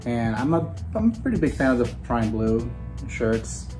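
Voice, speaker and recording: Clear music can be heard behind the speech. A man talks at a moderate pace. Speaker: jersey collector vlogger. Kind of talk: casual vlog chat. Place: home room. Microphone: camera far.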